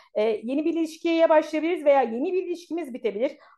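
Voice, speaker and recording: With lively intonation, the woman talks in a dark, mellow tone. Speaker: astrologer and tarot reader. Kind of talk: astrology forecast monologue. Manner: fast; hesitant fillers.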